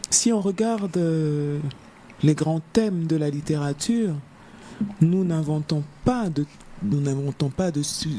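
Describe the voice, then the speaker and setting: The intonation is lively while the pace is very slow. Long, frequent pauses break up the speech. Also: woman, very deep, low pitch for a woman. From Africa. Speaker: novelist. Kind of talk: interview. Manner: halting, many hesitations.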